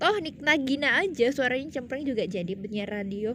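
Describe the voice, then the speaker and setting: A woman is talking. Audible room echo surrounds her voice. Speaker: radio presenter and vlogger. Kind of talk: casual vlog talk to camera. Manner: casual with many fillers.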